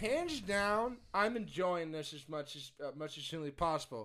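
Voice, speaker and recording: In a plain, everyday voice, a man speaks at a moderate pace with ordinary pitch variation, captured on a very clean recording with a silent background. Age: 30s. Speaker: wrestling podcast co-host. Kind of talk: casual chat.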